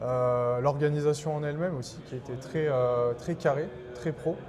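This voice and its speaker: Fairly even intonation at a moderate pace comes through over noticeable background noise. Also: man. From France, Clermont-Ferrand. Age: 30s. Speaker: collector. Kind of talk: interview. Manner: hesitant, many fillers.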